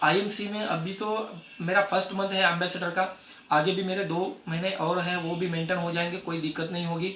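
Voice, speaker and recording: A man with a Marathi accent speaks at a high pitch and moderate pace in monotone, flat intonation, with audible room echo and noticeable background noise. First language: Marathi (speaking Hindi). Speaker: network marketing distributor. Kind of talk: success story talk at a meeting. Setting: meeting with audience. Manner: halting.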